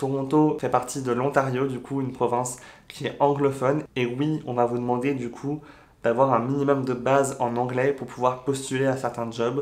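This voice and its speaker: This man speaks at a moderate pace with a medium pitch. His intonation is monotone and flat. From France. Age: 20s. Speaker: YouTuber sharing expat advice. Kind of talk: vlog advice talk. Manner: casual, with frequent fillers.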